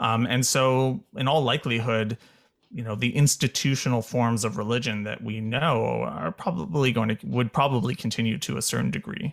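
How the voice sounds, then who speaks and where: With lively intonation and vocal fry, a man speaks at a moderate pace and medium pitch. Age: 30s. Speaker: cultural anthropologist. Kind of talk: interview.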